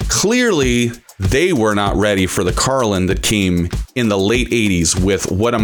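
An enthusiastic-sounding man with an American accent, over noticeable background noise. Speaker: college radio host. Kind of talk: radio show introduction. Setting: studio. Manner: enthusiastic, announcer-style build-up; rambling with filler 'uh'.

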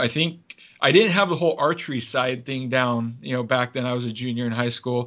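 Speaking at a fairly quick pace with an American accent, a man has an ordinary speaking voice, a medium pitch and ordinary pitch variation. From US Northwest, southwest Washington. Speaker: game call maker and elk caller. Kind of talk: casual interview with call demonstrations.

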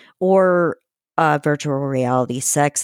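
A woman speaks very slowly in a very deep, low voice, recorded very cleanly against a silent background with a dry, close sound and no echo. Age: older than 40. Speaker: podcast host. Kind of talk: podcast interview.

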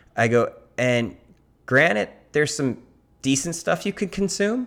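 Over a silent background in a very clean recording, a man's pitch swings very widely. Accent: Southern California. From US West Coast. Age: 50s. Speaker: surfer and surf magazine editor. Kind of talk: casual chat.

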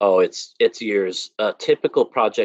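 Over a quiet background, a man speaks with a Californian accent in a dry, close sound with no echo. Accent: Californian American English. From Los Angeles, near East LA. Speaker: themed entertainment sculptor and designer. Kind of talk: interview.

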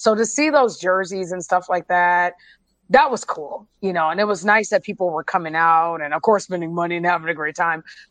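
Over a quiet background, a woman with an American accent speaks in an animated tone at a fairly quick pace, her fairly low voice showing ordinary pitch variation. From US West Coast, San Francisco Bay Area. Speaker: football fan and hobby photographer. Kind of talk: casual chat. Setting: video call.

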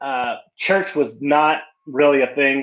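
Here a man talks with an American accent in a fairly high pitch. His pace is very slow. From West Texas. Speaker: pastor. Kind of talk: testimony. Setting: remote call from his church.

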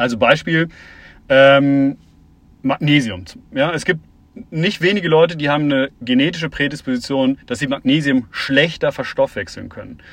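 Over a quiet background, the speech moves at a moderate pace with ordinary pitch variation and long, frequent pauses. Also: man, fairly high pitch for a man. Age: 40s. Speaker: startup founder and CEO. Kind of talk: interview. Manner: hesitant with many fillers.

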